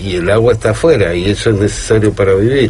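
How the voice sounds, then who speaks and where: A man talks over noticeable background noise. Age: 50s. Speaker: radio co-host. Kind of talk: casual radio discussion. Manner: halting.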